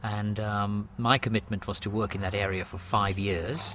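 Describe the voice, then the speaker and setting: A man speaks in an English accent. His pitch is fairly low. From England. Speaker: rural doctor. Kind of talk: interview answer.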